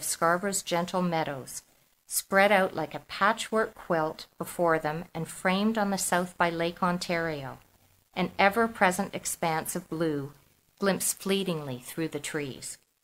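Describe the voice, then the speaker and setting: In an ordinary speaking voice, a woman with a Canadian accent and a fairly low pitch talks fairly slowly with ordinary pitch variation, in a very clean recording with a silent background. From Toronto, Canada. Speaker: author. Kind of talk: reading aloud.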